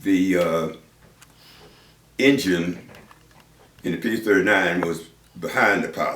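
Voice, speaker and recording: A man's voice over noticeable background noise. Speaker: World War II fighter pilot veteran. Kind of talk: interview answer.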